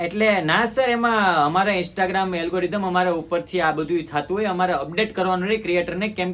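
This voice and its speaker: High male voice with fairly even intonation. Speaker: prank call youtuber. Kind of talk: prank phone call. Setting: phone call. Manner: formal.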